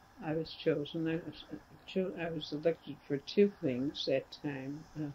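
At a fairly slow pace, a woman speaks with a low pitch and a dark, mellow tone. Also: ordinary pitch variation.

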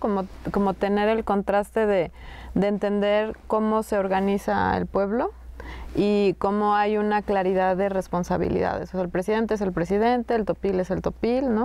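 A woman speaks at a moderate pace with a dark, mellow tone. The sound is dry with no echo. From Sierra Norte of Oaxaca, Mexico (Zapotec community); Oaxaca, Mexico. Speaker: filmmaker; guest. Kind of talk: casual conversation. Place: hall.

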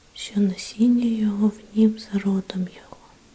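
A woman's gentle, monotone, flat delivery at a very slow pace, with noticeable background noise. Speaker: ASMR Bible reader. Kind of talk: ASMR Bible reading, sleep relaxation. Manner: whispered, gentle.

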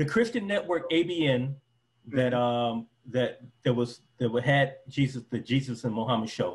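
A man with an American accent speaks at a fairly slow pace, somewhat breathy, with ordinary pitch variation. His loudness stays very even. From Detroit, US. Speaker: former preacher and convert interviewee. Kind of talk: casual interview. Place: home room. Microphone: video call.

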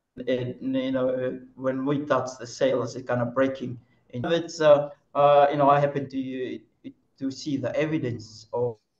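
A man talks at a fairly slow pace in a monotone, flat delivery. The background is quiet, with audible room echo. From Fiji, Lau group. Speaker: traditional canoe sailing captain. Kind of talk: webinar presentation. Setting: video call. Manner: halting. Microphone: video call.

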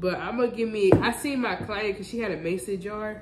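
At a moderate pace, a woman talks over noticeable background noise, with audible room echo. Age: 20s. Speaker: vlogger. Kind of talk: casual vlog.

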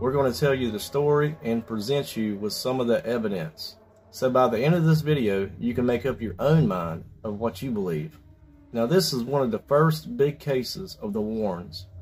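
Over faint background music, a man talks at a moderate pace. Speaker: paranormal channel host. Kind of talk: storytelling intro. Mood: calm, slightly ominous.

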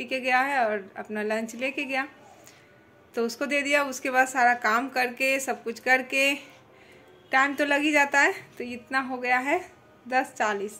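Raising and projecting her voice, a woman speaks at a fairly slow pace in a bright, sharp tone. Her intonation stays fairly even. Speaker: home vlogger. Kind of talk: casual vlog chat. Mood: a little low, chatty. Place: home room. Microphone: phone near.

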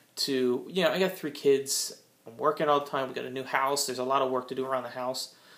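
A man talks at a fairly quick pace. His intonation stays fairly even over light background noise. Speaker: vlogger starting a diet plan. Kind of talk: casual vlog chat. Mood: frank, self-critical. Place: home room. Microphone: phone near.

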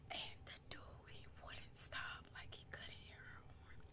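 Whispering and soft-spoken, a woman speaks at a very slow pace over loud background noise. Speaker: vlogger. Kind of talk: casual storytelling vlog. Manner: soft ASMR whisper. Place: home room. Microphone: webcam.

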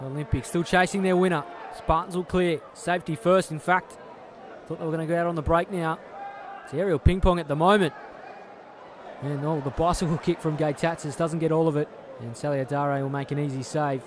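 Amid noticeable background noise, an animated man with a fairly high pitch talks at a fairly quick pace, broken by long, frequent pauses. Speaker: football match commentator. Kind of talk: live sports commentary. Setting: stadium match broadcast. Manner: fast-paced, animated, excitable play-by-play; rising, emphatic delivery on goals.

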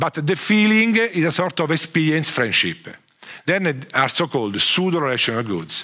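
A bright, sharp voice in a strong Italian accent, with very wide pitch swings, a moderate pace and a quiet background. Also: man, fairly high pitch for a man. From Italy. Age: 50s. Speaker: economics professor. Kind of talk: lecture. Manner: halting. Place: hall.

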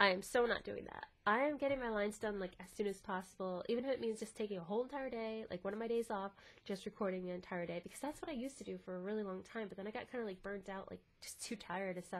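This woman's mid-range voice races along extremely quickly. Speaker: voice actor and video creator. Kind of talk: casual vlog monologue. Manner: casual, filler-heavy.

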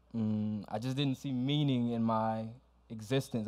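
A man with an American accent speaks in a monotone, flat voice of medium pitch, recorded very cleanly against a silent background. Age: 20s. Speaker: keynote commencement speaker. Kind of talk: motivational graduation speech to an audience. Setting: auditorium with live audience.

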